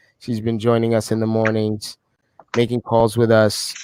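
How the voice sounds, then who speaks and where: In a New York accent, a man talks at medium pitch and a moderate pace. His intonation is monotone and flat, and the sound is dry and close with no echo. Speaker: group call host.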